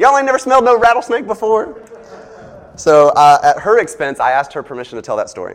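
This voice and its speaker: Amid noticeable background noise, a man with a slight Southern US accent talks at a very fast pace, his extremely high pitch swinging very widely. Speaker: preacher giving a sermon. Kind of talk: sermon. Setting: church with congregation. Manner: animated when excited.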